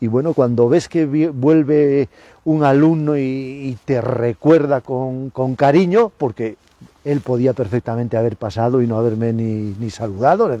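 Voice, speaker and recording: The voice has a dark, mellow tone and moves at a fairly slow pace. Its sound is dry and close, with no echo. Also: man, medium pitch for a man, ordinary pitch variation. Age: 60s. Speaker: biology professor. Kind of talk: interview. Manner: hesitant, with many repetitions.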